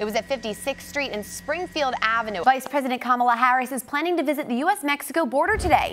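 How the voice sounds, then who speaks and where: Over music in the background, someone with an American accent talks at a very fast pace with lively intonation. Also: woman. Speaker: news anchor and reporter. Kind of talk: TV news anchor read. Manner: clear, polished, brisk.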